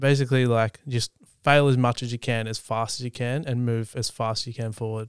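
A man with an Australian accent at a fairly quick pace, medium in pitch and flat, monotone in intonation, in a very clean recording with a silent background and a dry, close sound with no echo. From Australia, East Gippsland, country Victoria. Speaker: photographer and videographer. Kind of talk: casual chat.

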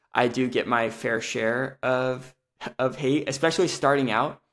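This man talks at a fairly slow pace at a medium pitch. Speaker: BJJ analysis YouTuber. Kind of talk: casual interview chat. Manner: animated when excited, talks in long sequences.

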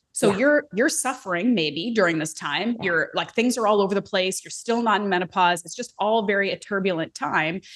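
Speaking at a fairly quick pace with hardly any pauses, a woman has a normal speaking voice at medium pitch and lively intonation. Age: 30s. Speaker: podcast host and strength coach. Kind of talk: casual interview.

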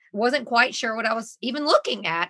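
A woman's high, bright and sharp voice with a Southern US accent. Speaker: mother and reality TV star. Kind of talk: casual chat.

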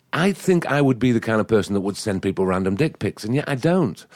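A man with an English accent, very wide pitch swings and a fairly quick pace. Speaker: set designer. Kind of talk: casual chat.

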